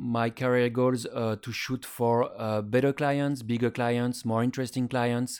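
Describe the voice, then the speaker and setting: A man talks with a French accent. His voice sits at a medium pitch. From France. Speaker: photographer. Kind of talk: interview. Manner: halting, many fillers.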